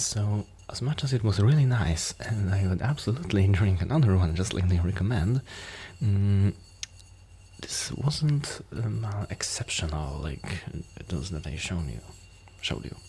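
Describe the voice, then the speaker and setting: Over noticeable background noise, a man speaks fairly slowly with a fairly low pitch. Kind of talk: ASMR soft-spoken beer collection show-and-tell to camera. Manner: soft-spoken, hesitant with frequent fillers.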